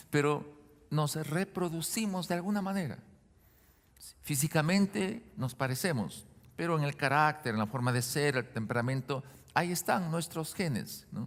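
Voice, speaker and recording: Speaking fairly slowly with lively intonation, a man has a plain, everyday voice pitched fairly high. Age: 60s. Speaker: pastor. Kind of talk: sermon. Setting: church.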